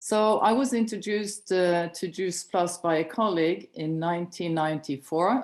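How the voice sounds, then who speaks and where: A woman with a Norwegian accent, fairly low in pitch, with lively intonation at a fairly slow pace. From Norway. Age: 60s. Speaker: chiropractor and network marketing director. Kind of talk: personal testimony on a training call. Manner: slower, non-native pace.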